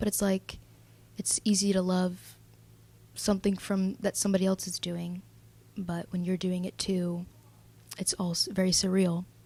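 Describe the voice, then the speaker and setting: Somewhat breathy and dark, mellow in tone, a woman speaks at a moderate pace in a medium pitch with flat, monotone intonation. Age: 20s. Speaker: vlogger. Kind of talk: personal video diary. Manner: hesitant.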